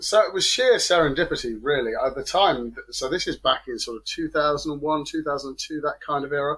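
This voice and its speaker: A man with an English accent speaks at a fairly quick pace, his loudness swinging widely. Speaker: software developer. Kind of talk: interview.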